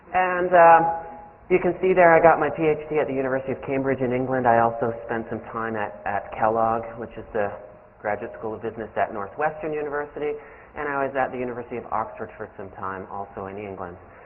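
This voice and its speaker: Talking at a very fast pace with lively intonation and big swings in loudness, a man is heard over noticeable background noise and audible room echo. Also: medium pitch for a man. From Canada. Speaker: business professor. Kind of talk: lecture. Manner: casual, joking with audience.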